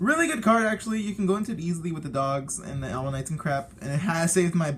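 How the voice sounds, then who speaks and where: A man talks at a very fast pace with a fairly high pitch. His intonation is lively over noticeable background noise. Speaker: card game youtuber. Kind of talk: casual deck showcase talk. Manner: talkative, rambling; halting with fillers and restarts.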